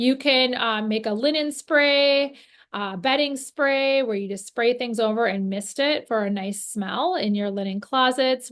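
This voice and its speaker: Ordinary pitch variation from a woman's voice. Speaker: natural cleaning workshop presenter. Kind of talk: instructional workshop talk. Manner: fast.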